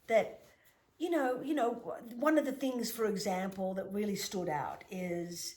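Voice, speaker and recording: Somewhat breathy speech swings very widely in pitch, with long, frequent pauses. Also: woman, fairly high pitch for a woman. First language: Greek. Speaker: shaman and author. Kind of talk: interview.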